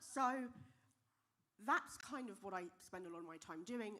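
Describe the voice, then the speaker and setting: A loud, bright, sharp voice in a British accent at a moderate pace. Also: woman. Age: young. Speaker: software engineer and diversity speaker. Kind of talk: conference talk.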